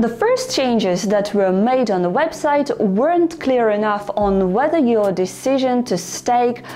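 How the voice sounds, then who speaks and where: Over noticeable background noise, a woman talks at a moderate pace, her fairly high voice carrying lively intonation. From Ukraine. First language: not English. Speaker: finance YouTuber. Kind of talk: tutorial.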